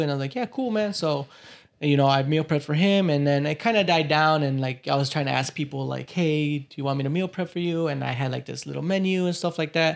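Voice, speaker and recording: Speaking fairly quickly in a plain, everyday voice, a man with an American accent keeps a fairly high pitch and ordinary pitch variation. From Chicago area, US (Cicero). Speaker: entrepreneur and video content creator. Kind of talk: casual interview chat.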